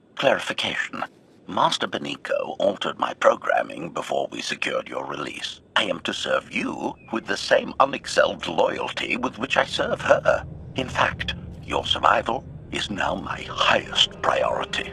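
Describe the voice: Putting on a character voice, a man speaks in a low pitch with big pitch swings, a bright, sharp tone, a husky, rough edge, vocal fry and few pauses. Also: fairly slow pace.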